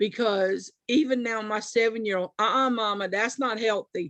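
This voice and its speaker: A woman's plain, everyday voice, fairly high in pitch with ordinary pitch variation, in a dry, close sound with no echo. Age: 50s. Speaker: food program participant, grandmother. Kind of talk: panel testimony.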